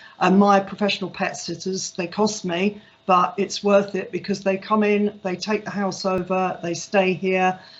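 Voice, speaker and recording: At a moderate pace and medium pitch, a woman speaks with monotone, flat intonation and hardly any pauses. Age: 60s. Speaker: cattery owner. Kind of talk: careers talk. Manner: hesitant with frequent fillers.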